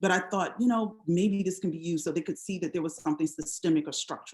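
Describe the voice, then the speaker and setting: A woman in an American accent, fairly low-pitched, at a very fast pace. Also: ordinary pitch variation. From US South, South Carolina Low Country (grew up partly in D.C.). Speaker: historian, university professor. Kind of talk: public talk. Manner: conversational with many fillers.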